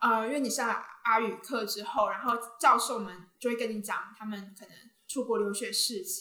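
Over audible room echo, a woman with a fairly high pitch speaks at a moderate pace, with ordinary pitch variation and big swings in loudness. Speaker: university student and social media creator. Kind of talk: casual interview.

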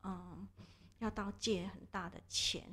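A woman speaks at a very slow pace. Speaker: social welfare institution director. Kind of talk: interview. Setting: studio. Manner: hesitant, many fillers.

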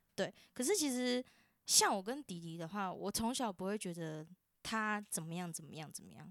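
Her voice is an unremarkable speaking voice at a medium pitch. The woman's intonation is lively. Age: 20s. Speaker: university student. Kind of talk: casual family chat.

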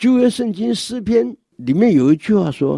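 A man's dark, mellow, somewhat breathy voice with very wide pitch swings, on a very clean recording with a silent background. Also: dry, close sound with no echo. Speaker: church elder giving a devotional talk. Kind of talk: scripted devotional talk.

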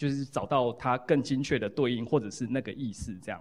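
This man speaks at a medium pitch and a moderate pace. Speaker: psychology professor, book co-author. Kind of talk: lecture and Q&A at book launch. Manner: repetitive fillers, halting.

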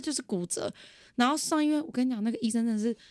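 Through a very clean recording with a silent background, a woman speaks with very wide pitch swings. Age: 20s. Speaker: podcast guest. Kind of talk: casual chat.

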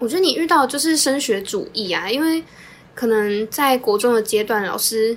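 A normal speaking voice at a moderate pace, with lively intonation. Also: woman, fairly high pitch for a woman. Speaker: podcast co-host, social work student. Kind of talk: casual chat.

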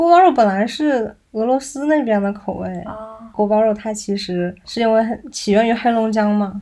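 Soft-spoken and with a slight Northeastern Chinese accent, a woman talks at a moderate pace with hardly any pauses, her fairly high voice dark and mellow in tone, with ordinary pitch variation. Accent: little Northeastern. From Northeast China. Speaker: podcast co-host. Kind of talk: casual chat.

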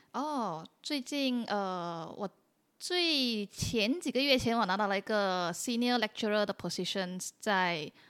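A woman's fairly high voice at a very slow pace, with lively intonation and a dry, close sound free of echo. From Malaysia, Penang. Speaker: PhD researcher and incoming lecturer. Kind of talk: casual interview.

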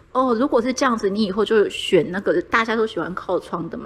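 Very fast speech from a woman, fairly high in pitch, with ordinary pitch variation. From Argentina. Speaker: Taiwanese returnee raised in Argentina. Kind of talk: casual chat.

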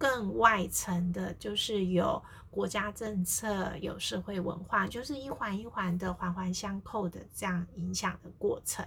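Amid noticeable background noise, a woman of medium pitch speaks at a fairly slow pace with hardly any pauses and ordinary pitch variation. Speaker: family therapist and podcast host. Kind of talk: casual solo podcast talk. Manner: frequent fillers, conversational pace.

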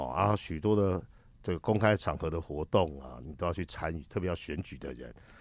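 A man's very deep, low voice with vocal fry, a fairly quick pace, ordinary pitch variation and big swings in loudness, on a very clean recording over a silent background. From Taiwan. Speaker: political commentator and lecturer. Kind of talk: casual interview.

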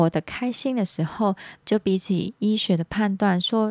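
In a very clean recording with a silent background and a dry, close sound with no echo, a woman with a slight Hong Kong accent speaks at a fairly slow pace in a dark, mellow, somewhat breathy tone with ordinary pitch variation. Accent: slight Hong Kong accent in Mandarin. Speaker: podcast host. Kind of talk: casual talk monologue.

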